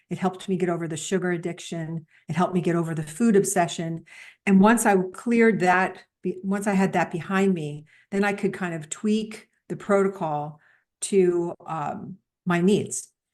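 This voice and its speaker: In a quiet background, a woman with a medium pitch speaks at a moderate pace with fairly even intonation. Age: 60s. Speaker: entrepreneur, health event organizer. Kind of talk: interview conversation. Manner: halting, many fillers.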